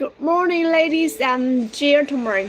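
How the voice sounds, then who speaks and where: A woman's high-pitched voice in a Chinese accent at a very slow pace, with ordinary pitch variation and noticeable background noise. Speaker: live streamer for a machinery seller. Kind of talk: casual live stream chat with viewers. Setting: live stream. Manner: halting, repetitive.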